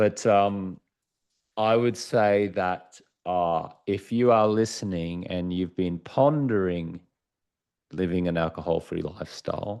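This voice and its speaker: A man with an Australian accent speaks at a very deep, low pitch with ordinary pitch variation. His pace is very slow, and the background is quiet. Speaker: author and former sports TV anchor. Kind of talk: podcast interview.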